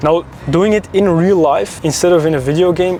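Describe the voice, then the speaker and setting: A man speaks at a fairly high pitch with ordinary pitch variation. Noticeable background noise runs under his voice. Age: 20s. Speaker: online business influencer. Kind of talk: vlog monologue. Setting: in a car.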